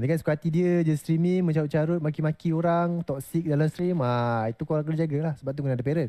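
Against a quiet background, a man with a dark, mellow tone and a fairly high pitch speaks at a very fast pace. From Malaysia. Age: 30s. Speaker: streaming workshop presenter; presenter. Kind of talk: lecture. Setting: video call. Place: hall.

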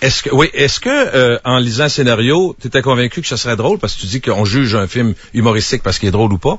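Very fast, somewhat breathy delivery from a man at medium pitch, with hardly any pauses. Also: ordinary pitch variation. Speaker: radio host. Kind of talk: radio interview.

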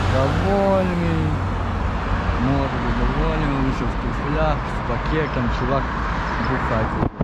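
A man talks at a very slow pace against loud background noise. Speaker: vlogger. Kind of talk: casual vlog chat. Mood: amused storytelling. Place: street. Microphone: phone near.

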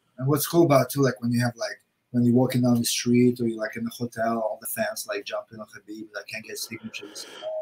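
A man talking at a very fast pace with big swings in loudness. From Russia. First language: Russian. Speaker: martial arts gym manager and coach; coach. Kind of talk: casual chat. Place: home room.

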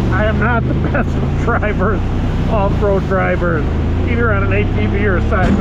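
The pace is moderate, and the sound is dry with no echo. Loud background noise runs throughout. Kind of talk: casual vlog chat. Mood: cheerful, laughing. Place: open country. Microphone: camera far.

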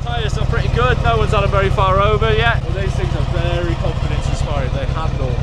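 A man talks at a very fast pace with hardly any pauses. Loud background noise runs underneath. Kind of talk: explaining bike controls. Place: street.

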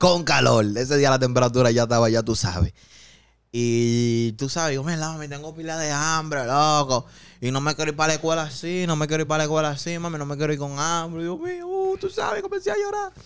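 Ordinary pitch variation marks a man's fairly quick speech. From Dominican Republic, Santo Domingo Oeste; Dominican Republic. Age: 20s. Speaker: rapper; podcast guest. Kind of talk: casual chat. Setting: studio. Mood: recounting emotional childhood story. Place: studio. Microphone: studio mic.

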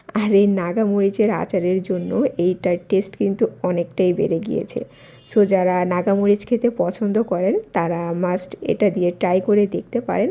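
A soft-spoken woman talks at a medium pitch, her dark, mellow tone carried by fairly even intonation. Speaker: lifestyle vlogger. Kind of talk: vlog voice-over. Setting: home at night.

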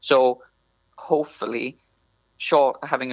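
A man with a Welsh accent at a medium pitch, fairly slow and fairly even in intonation, in a dry, close sound with no echo. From North Wales. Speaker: PhD researcher in plant science. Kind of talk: interview.

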